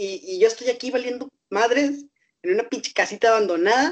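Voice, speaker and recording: A man talks at a fairly quick pace in an extremely high pitch. His pitch varies in an ordinary way. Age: 20s. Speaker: rapper. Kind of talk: interview.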